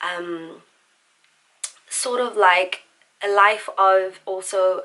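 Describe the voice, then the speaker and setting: This woman has a South African accent and a medium pitch. Her intonation is monotone and flat. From South Africa, Pretoria. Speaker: singer and vlogger. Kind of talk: casual chat. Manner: warm, relaxed.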